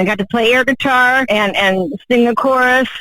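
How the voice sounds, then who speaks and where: Noticeable background noise sits behind the recording. A woman speaks at a high pitch with ordinary pitch variation. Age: 60s. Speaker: superfan caller. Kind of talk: casual phone interview. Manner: animated.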